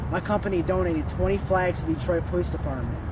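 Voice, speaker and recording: Very fast speech from a man amid noticeable background noise and audible room echo. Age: 20s. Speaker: student and youth activist. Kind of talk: scripted self-introduction.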